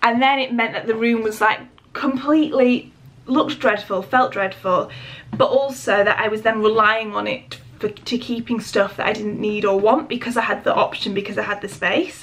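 Speaking at a moderate pace, a woman has a fairly high pitch, a fairly bright tone and fairly even intonation.

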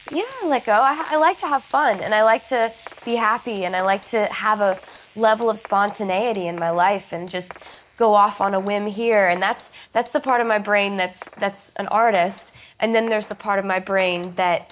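With light background noise in the recording, a woman's voice moves at a moderate pace and shows ordinary pitch variation. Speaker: interviewee. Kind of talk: interview answer. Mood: reflective, relaxed. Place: studio.

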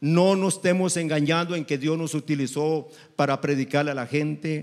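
Against a quiet background, a man speaks at a moderate pace in a fairly high pitch with ordinary pitch variation. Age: 60s. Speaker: preacher. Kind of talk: sermon. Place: church. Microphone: handheld.

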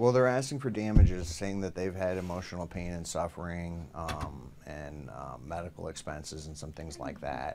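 With noticeable background noise behind him, a man speaks in a very deep, low pitch with vocal fry and big swings in loudness. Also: moderate pace, hardly any pauses. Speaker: news reporter. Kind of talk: interview answer. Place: studio. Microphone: studio mic.

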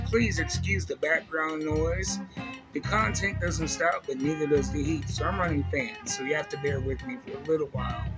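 A man talks at a moderate pace. Music plays clearly behind him. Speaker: action figure vlogger. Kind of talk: casual vlog chat. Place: home room. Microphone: phone near.

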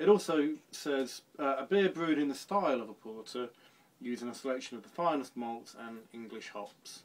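With ordinary pitch variation, a man speaks at a fairly slow pace. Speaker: home brewer reviewing beer. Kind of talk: casual vlog chat. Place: home room. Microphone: phone near.

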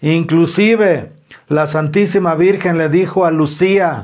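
Here a man talks at a fairly high pitch at a fairly slow pace. His tone is slightly mellow, with ordinary pitch variation.

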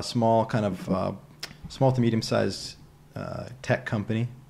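A man talks with an American accent and fairly even intonation. Noticeable background noise runs behind him. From US Northeast (New England). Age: 30s. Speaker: mindset coach. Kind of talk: casual interview conversation. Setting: in person at a kitchen table.

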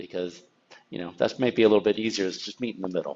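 A man's plain, everyday voice, fairly low in pitch, with an American accent and fairly even intonation. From Napa, California; California. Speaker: sommelier; tasting host. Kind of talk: wine tasting discussion. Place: home room.

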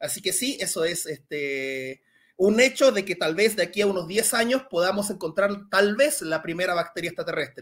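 The delivery has lively intonation. The pace is moderate. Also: man, high pitch for a man. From Chile. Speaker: science communicator; guest. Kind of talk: Q&A talk; interview answer. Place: home room.

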